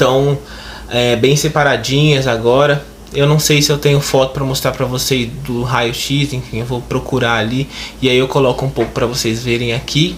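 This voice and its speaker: Against noticeable background noise, a man speaks in a medium pitch at a moderate pace with monotone, flat intonation. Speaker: YouTuber. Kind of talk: casual vlog.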